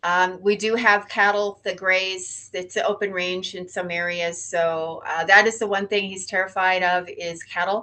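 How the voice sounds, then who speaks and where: A woman at medium pitch, moderate pace, with monotone, flat intonation and hardly any pauses. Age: 60s. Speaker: horse owner. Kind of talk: casual chat.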